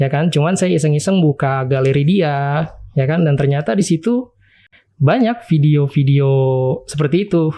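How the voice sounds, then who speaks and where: This man's voice sits fairly high, with a dark, mellow tone and a somewhat breathy quality. He keeps a moderate pace, very even loudness, and ordinary pitch variation. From East Jakarta, Indonesia. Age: 20s. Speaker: university student, interview guest. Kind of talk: personal confession interview. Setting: studio.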